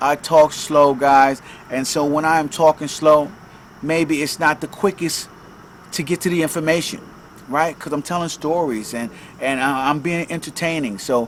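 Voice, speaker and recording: There is noticeable background noise behind this man. His pitch is fairly high, with ordinary variation. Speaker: self-help podcaster and author. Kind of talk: casual monologue podcast. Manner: filler-heavy, repetitive.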